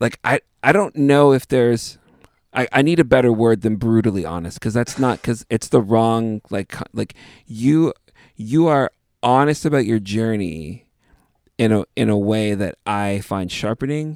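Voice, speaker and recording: This is an ordinary speaking voice at a moderate pace with ordinary pitch variation. The sound is dry and close, with no echo. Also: man, medium pitch for a man. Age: 30s. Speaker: podcast host and musician. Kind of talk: casual interview conversation.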